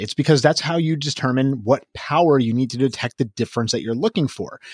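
A man with a fairly high pitch and an unremarkable speaking voice talks at a fairly quick pace with lively intonation. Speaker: co-host, emergency physician. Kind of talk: podcast discussion of a medical study, casual but informed.

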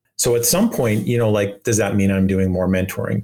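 A plain, everyday voice speaks with a Canadian accent. Its intonation stays fairly even. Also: man. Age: 50s. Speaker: video game director. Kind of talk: interview.

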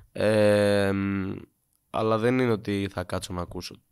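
A man talks at a fairly slow pace. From Greece, later Sweden from age 15. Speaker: musician. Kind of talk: casual chat. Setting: studio.

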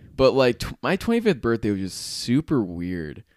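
Recorded very cleanly against a silent background, with a dry, close sound and no echo, a man speaks at a medium pitch and a moderate pace. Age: 20s. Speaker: podcast host. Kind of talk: casual chat.

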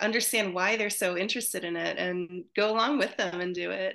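A woman at medium pitch speaks at a moderate pace with a bright, sharp tone, vocal fry and ordinary pitch variation. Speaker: psychologist and author. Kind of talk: casual interview chat.

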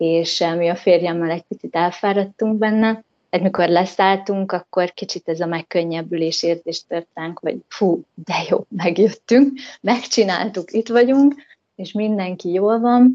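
A normal speaking voice from a woman at medium pitch, ordinary pitch variation, dry, close sound with no echo and a quiet background. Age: 30s. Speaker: returning emigrant, mother. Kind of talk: interview.

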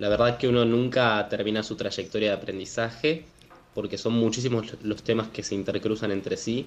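A man with a medium pitch and a plain, everyday voice speaks at a moderate pace with fairly even intonation. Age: 20s. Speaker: climate activist. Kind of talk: interview.

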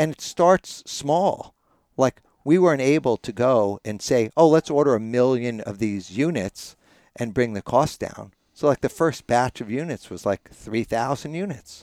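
In a plain, everyday voice, a man at medium pitch talks at a fairly slow pace with lively intonation, the sound dry and close with no echo in a very clean recording with a silent background. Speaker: author and sprout expert. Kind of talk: casual interview chat. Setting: sauna recording.

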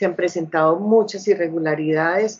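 A woman is talking here. She has a fairly low pitch. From Colombia, Bucaramanga, Santander. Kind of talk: interview testimony. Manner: halting with frequent fillers.

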